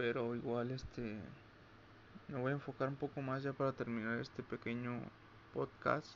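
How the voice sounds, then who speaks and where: The man speaks at a medium pitch and moderate pace. His intonation stays monotone and flat, with long, frequent pauses. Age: 20s. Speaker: podcaster. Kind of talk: personal monologue. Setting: at home late at night. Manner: halting.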